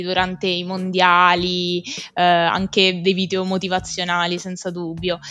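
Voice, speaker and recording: On a very clean recording with a silent background, a woman speaks at a fairly slow pace in a bright, sharp tone. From central Italy (Rieti, Lazio). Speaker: podcast guest, women's football enthusiast. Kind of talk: casual discussion.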